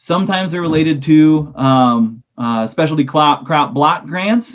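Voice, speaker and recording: A man with an ordinary speaking voice talks at a moderate pace, fairly high in pitch with ordinary pitch variation. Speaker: agricultural lender. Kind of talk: webinar presentation.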